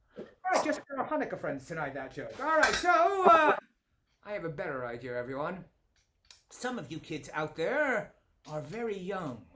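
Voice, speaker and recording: In a raised, projected voice, a man speaks high and playful and upbeat at a moderate pace, with very wide pitch swings, big swings in loudness, and long, frequent pauses. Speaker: comedy magician. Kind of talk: comedy magic show patter for families. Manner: playful, upbeat.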